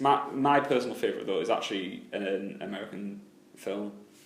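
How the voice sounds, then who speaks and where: A man at a very fast pace with ordinary pitch variation, amid noticeable background noise and audible room echo. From UK. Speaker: film podcast host. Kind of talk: casual chat. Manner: halting, frequent repetitions.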